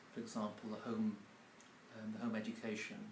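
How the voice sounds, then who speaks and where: Speaking with an English accent at a moderate pace, a man is heard with audible room echo. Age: 60s. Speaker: publisher and mentor. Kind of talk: casual interview. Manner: halting, many fillers.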